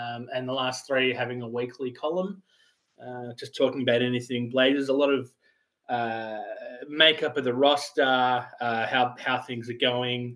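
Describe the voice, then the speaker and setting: With an Australian accent, a man speaks at medium pitch and a moderate pace, his intonation fairly even, his loudness swinging widely, and his pauses long and frequent. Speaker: sports writer. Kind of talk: podcast interview. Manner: hesitant, many fillers.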